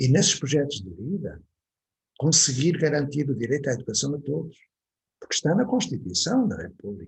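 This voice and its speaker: Here is a man with a European Portuguese accent, a fairly high pitch and some vocal fry. He talks at a moderate pace with lively intonation. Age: 70s. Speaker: educator. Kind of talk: online talk to parents.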